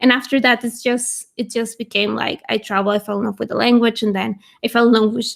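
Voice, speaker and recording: Speaking with a Spanish accent, a woman keeps a fairly quick pace, a fairly high pitch and a flat, monotone delivery. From Venezuela. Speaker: language YouTuber. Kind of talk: casual chat. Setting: livestream video call.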